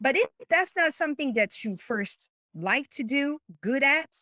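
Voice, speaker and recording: In a very clean recording with a silent background, a woman with a French accent speaks in a bright, sharp tone, her pitch swinging very widely. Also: dry, close sound with no echo. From France. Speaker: business coach. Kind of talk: interview. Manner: halting.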